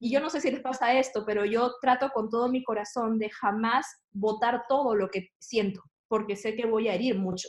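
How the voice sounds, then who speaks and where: A woman's fairly high-pitched voice, moderate in pace with fairly even intonation, a plain, everyday voice. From Peru, Lima. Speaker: church staff member. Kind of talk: casual panel conversation.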